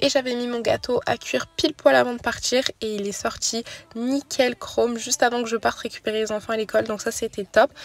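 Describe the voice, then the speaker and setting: A woman talks at a fairly quick pace and fairly high pitch with fairly even intonation, in a dry, close sound with no echo and noticeable background noise. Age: 20s. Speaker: mom vlogger. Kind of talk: voice-over narration. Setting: in a car. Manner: soft-spoken.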